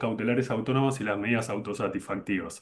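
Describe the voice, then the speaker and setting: Fairly even in intonation, a man talks at a very fast speed. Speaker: law lecturer. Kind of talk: lecture.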